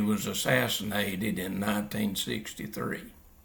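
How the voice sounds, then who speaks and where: A man talks at a fairly slow pace with a fairly low pitch. Audible room echo surrounds his voice. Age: 80s+. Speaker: Bible teacher. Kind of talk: religious teaching monologue. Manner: halting, many fillers.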